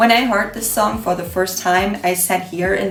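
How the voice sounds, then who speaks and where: Music plays in the background as someone with a non-native accent speaks at a moderate pace with ordinary pitch variation and audible room echo. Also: woman. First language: not English. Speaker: beauty vlogger. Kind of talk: casual vlog monologue while doing makeup. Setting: home kitchen.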